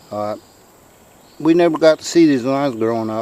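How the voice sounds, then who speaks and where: There is noticeable background noise behind this man with an Alabama accent. He speaks at a moderate pace with ordinary pitch variation. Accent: US Southern (Alabama). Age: 60s. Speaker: outdoors video show host. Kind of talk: casual nature vlog narration.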